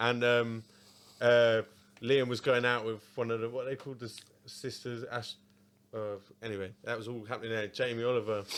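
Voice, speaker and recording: Speaking with an Essex accent, a man keeps a monotone, flat intonation at a medium pitch. He goes at a moderate pace with long, frequent pauses. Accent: southern English (Essex). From Essex, England. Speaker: podcast host. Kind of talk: casual chat.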